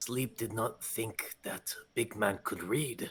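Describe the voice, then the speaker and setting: Using a put-on character voice, a man speaks at a very slow pace with medium pitch and fairly even intonation. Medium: actual play. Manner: talks about self in third person.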